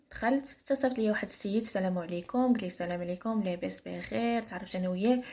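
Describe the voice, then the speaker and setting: A woman speaks at a very fast pace with a Moroccan accent. Her voice is somewhat breathy, medium in pitch, with ordinary variation. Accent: Moroccan Arabic (Darija). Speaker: storyteller. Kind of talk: personal story telling. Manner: casual, with hesitations.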